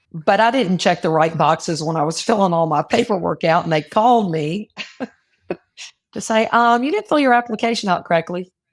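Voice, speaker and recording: Using a plain, everyday voice, a woman speaks fairly quickly at a medium pitch with lively intonation, in a very clean recording with a silent background. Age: 60s. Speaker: financial advisor, businesswoman. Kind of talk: interview conversation.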